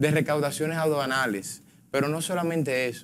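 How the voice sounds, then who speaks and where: A man's fairly quick delivery over light background noise. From Dominican Republic. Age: 20s. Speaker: politician, congressional pre-candidate; politician, candidate. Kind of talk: political panel debate. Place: studio. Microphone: lapel.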